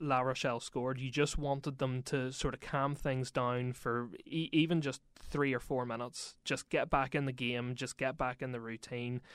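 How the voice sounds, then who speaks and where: Hardly any pauses break this voice with a Northern Irish accent, on a very clean recording with a silent background. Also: man. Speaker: sports reporter. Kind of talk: casual chat.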